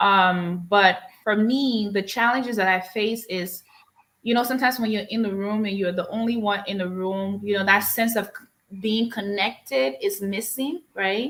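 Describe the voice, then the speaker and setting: A woman speaks with a Liberian accent at a medium pitch. Her pace is moderate and her pitch varies in an ordinary way. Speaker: insurance agency owner. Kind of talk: interview. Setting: live stream.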